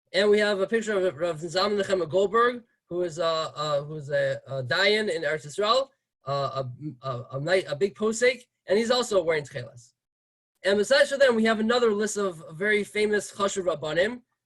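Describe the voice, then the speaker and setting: A man speaks at a fairly quick pace with a high pitch. His intonation is lively. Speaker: rabbi giving a class. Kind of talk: lecture. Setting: video call. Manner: fast.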